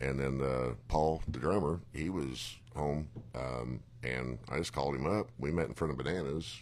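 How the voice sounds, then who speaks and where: Very deep, low male pitch, ordinary pitch variation and a moderate pace. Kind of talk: casual chat.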